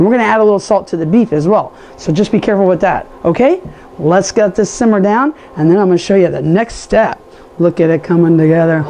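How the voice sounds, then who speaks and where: A woman with a medium-pitched voice talks very fast in an animated tone over noticeable background noise. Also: ordinary pitch variation. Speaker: cooking show host. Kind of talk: cooking tutorial. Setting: home kitchen with camera person.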